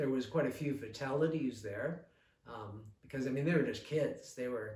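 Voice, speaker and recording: A man with a normal speaking voice talks at medium pitch and a fairly slow pace, his intonation fairly even. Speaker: local historian and author. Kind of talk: oral history interview, explaining history. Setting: recorded at a museum interview.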